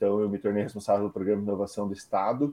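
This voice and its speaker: With monotone, flat intonation, this man's voice sits at a fairly low pitch. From Curitiba, southern Brazil. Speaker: startup founder and CEO. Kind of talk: interview.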